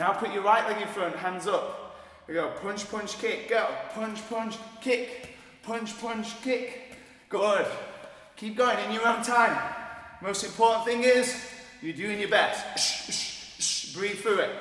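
A man's high pitch with fairly even intonation, very slow pace and long, frequent pauses, audible room echo around him. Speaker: fitness instructor. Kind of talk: workout instruction. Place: gym.

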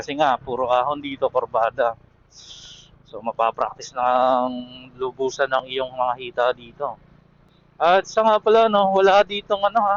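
A man's voice moves in very wide pitch swings. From Quezon province, Philippines. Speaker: travel vlogger. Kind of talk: casual vlog narration while driving. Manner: casual, halting with fillers.

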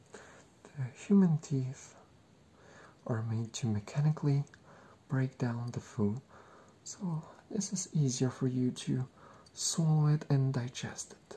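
A soft-spoken man with a dark, mellow, somewhat breathy tone, a very slow pace, ordinary pitch variation and long, frequent pauses. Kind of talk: soft-spoken explanatory talk while role-playing. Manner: soft-spoken ASMR dentist voice. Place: home room. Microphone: webcam.

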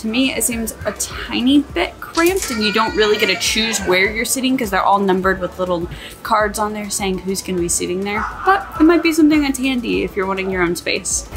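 A woman at a fairly quick pace, with clear music in the background. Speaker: travel vlogger. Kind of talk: casual vlog chat. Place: boat.

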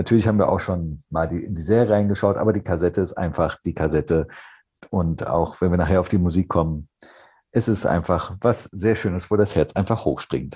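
Over a quiet background, a man with a very deep, low pitch and a dark, mellow tone speaks at a fairly quick pace, somewhat breathy, with ordinary pitch variation. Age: 30s. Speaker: podcast guest, hobby fan; podcast guest. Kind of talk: casual chat. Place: home room. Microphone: video call.

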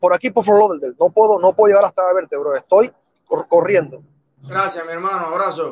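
Over a quiet background, a man talks fairly quickly at a high pitch. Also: ordinary pitch variation. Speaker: caller. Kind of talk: casual call-in opinion. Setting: phone call. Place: car. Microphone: video call.

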